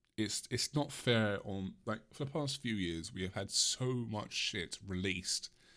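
A man with an English accent speaks at a fairly slow pace in a fairly low, bright, sharp tone with ordinary pitch variation, in a very clean recording with a silent background. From England. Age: 20s. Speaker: podcast host. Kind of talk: solo rant podcast, casual. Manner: rambling, hesitant, laughs often.

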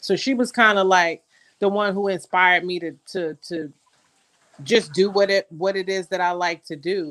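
A woman with a Queens accent speaks at a medium pitch and moderate pace with ordinary pitch variation, recorded dry and close with no echo. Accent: New York City (Queens). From Jamaica, Queens, New York City. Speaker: content creator and magazine editor. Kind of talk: casual chat.

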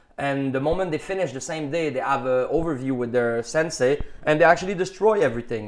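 Speaking very fast with a Quebec accent, a man barely pauses at all. His pitch is fairly high. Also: ordinary pitch variation. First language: French. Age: 30s. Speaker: muralist and painter. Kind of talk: casual interview. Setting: at an art exhibition.

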